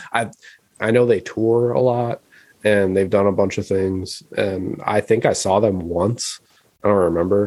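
Fairly slow and with fairly even intonation, a man with an unremarkable speaking voice talks at a fairly low pitch. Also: very even loudness. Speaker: podcast co-host. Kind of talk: casual banter podcast. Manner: laid-back, joking.

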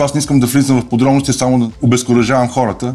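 This man talks at a very fast pace. He moves through his words quickly. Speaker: volleyball coach and student-athlete recruiting agent. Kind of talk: podcast interview.

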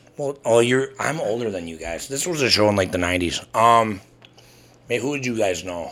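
A man's normal speaking voice, medium in pitch, with lively intonation and a moderate pace. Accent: American. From Wisconsin (Burlington). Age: 30s. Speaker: podcast co-host. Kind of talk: casual chat.

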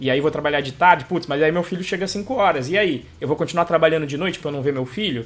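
At a very fast pace with hardly any pauses, the speaker shows ordinary pitch variation on a very clean recording with a silent background. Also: man, fairly high pitch for a man. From Brazil. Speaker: podcast host, computer engineer. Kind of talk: casual chat.

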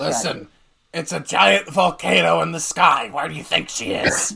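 Doing a put-on character voice, a man sounds raspy. His pitch is fairly high. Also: moderate pace. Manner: smug, matter-of-fact.

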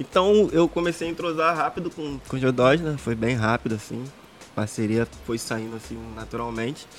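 Over noticeable background noise, a man with a medium pitch talks at a moderate pace with lively intonation. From Rio de Janeiro, Brazil (Jacarepaguá). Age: 30s. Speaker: professional footballer. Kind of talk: casual chat.

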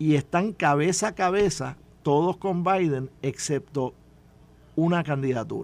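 A man speaks in a plain, everyday voice, pitched fairly high for a man, with ordinary pitch variation. His pace is fairly slow. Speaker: former politician and commentator. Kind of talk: radio panel discussion.

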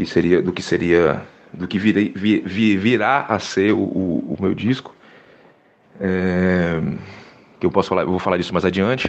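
A man speaks in a very deep, low voice at a fairly slow pace. His intonation is fairly even, with long, frequent pauses. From Salvador, Bahia, Brazil. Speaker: musician. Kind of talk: interview. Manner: halting, many fillers.

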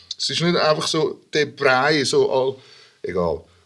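Using vocal fry, a man speaks at a fairly slow pace with a fairly high pitch and ordinary pitch variation. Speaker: rapper and hip-hop producer. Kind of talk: casual chat.

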